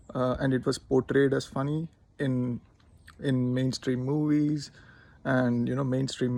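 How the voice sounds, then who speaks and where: With an Indian accent, a man speaks at medium pitch using fairly even intonation. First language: Telugu. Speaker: linguist. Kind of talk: casual talk to camera.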